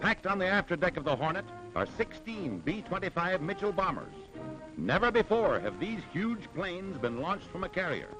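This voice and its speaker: Over music in the background, a man with a high pitch talks at a fairly quick pace with lively intonation. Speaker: newsreel commentator. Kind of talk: wartime newsreel narration. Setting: vintage 1940s recording. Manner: dramatic, rousing.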